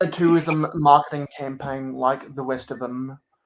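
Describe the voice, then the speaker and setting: Speaking with an Estuary accent, a man talks at a moderate pace with fairly even intonation. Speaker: LEGO YouTuber. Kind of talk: casual chat. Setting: live stream. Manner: halting, repetitive.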